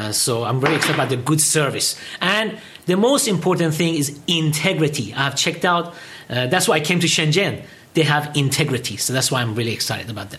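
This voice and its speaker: Over noticeable background noise, a man with a fairly high pitch talks at a very fast pace, his tone animated and his intonation lively. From Iran, raised in England and US. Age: 50s. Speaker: English teacher and product distributor. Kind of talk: interview. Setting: studio.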